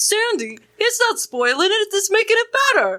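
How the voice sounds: A squeaky put-on character voice at an extremely high pitch moves along at a moderate pace.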